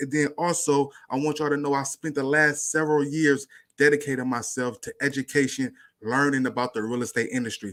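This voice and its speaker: Loud and animated, a man talks at a very fast pace with a fairly high pitch and a bright, sharp tone. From Northern California. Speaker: YouTube livestream host, real estate commentator. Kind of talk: casual livestream commentary. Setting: home livestream at night.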